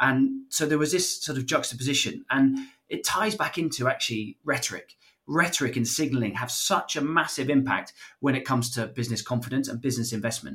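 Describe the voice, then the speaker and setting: Using a normal speaking voice, a man talks at a fairly quick pace, his medium pitch showing ordinary variation. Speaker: podcast co-host. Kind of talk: casual policy discussion.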